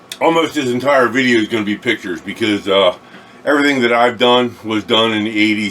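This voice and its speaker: A man talking at a very fast pace with ordinary pitch variation, over noticeable background noise. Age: 60s. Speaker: car restorer and online video host. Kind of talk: casual monologue to camera. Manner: halting, many fillers.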